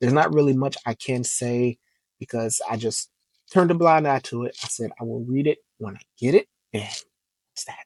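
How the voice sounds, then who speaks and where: A man speaks at a medium pitch, his voice dry and close with no echo. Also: big swings in loudness. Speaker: comic book YouTuber. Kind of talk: casual vlog review. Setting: home recording at computer. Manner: monotone; quiet, not loud.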